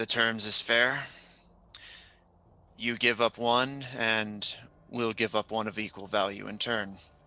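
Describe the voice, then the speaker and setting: A man's raspy, put-on character voice at medium pitch, monotone and flat, fairly slow, with long, frequent pauses. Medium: actual play. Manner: gruff, coarse.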